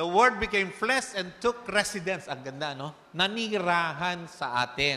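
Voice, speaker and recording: The speech moves at a very slow pace with lively intonation. Noticeable background noise sits behind it. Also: man. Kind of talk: sermon. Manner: animated, rhetorical call-and-response, urging the congregation to say amen.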